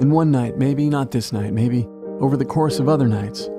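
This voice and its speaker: Music plays behind a man speaking at a moderate pace. His voice sits at a medium pitch with ordinary variation. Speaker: podcast host and narrator. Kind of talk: narrated history essay / podcast narration.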